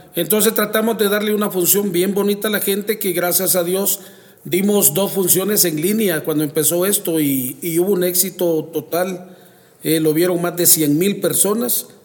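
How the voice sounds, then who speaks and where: Keeping very even loudness, a man talks at a moderate pace with a high pitch and fairly even intonation. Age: 50s. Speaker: circus owner. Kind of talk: interview.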